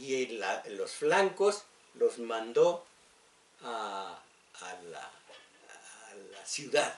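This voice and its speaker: A man's voice at a very slow pace, medium in pitch, with very wide pitch swings, big swings in loudness and long, frequent pauses. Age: old. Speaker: radio host. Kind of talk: radio talk and history lecture. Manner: halting, many fillers.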